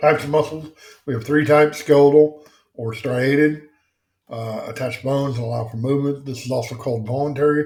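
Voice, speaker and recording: A man speaks at a fairly quick pace in a fairly high, somewhat breathy voice with fairly even intonation. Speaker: EMS instructor. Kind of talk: lecture. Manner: casual, many fillers.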